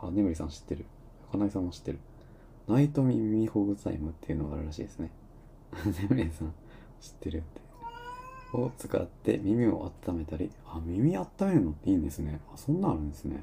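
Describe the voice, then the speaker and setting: A man with a very deep, low pitch talks at a fairly quick pace with lively intonation, broken by long, frequent pauses. There is noticeable noise in the background. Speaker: live-stream talk host. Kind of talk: casual live talk reading listener comments. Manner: filler-heavy, rambling delivery.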